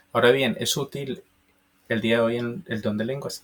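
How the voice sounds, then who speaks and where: A man speaks with an Antioquian accent at a medium pitch. His voice is somewhat breathy, with ordinary pitch variation. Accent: Colombian paisa Spanish. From Colombia, Antioquia (paisa region). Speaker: preacher. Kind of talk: bible teaching.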